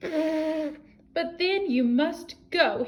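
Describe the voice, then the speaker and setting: A woman puts on a character voice pitched extremely high. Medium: read story. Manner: gruff.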